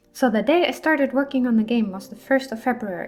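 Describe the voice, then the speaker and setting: The speaker is a woman. There is a somewhat breathy quality to her voice. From Germany. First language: German. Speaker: indie game developer and VTuber. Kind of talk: casual devlog narration. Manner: animated.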